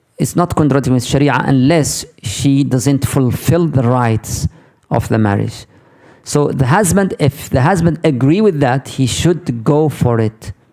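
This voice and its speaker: This is a man with a fairly high pitch. His intonation is lively. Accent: Arabic. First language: Arabic. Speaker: Islamic teacher. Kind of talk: lecture with Q&A.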